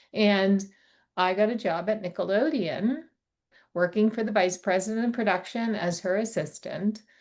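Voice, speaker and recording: With an American accent, a woman speaks at a medium pitch in an ordinary speaking voice, with ordinary pitch variation against a quiet background. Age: 60s. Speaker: consultant and rare disease advocate. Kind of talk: podcast interview.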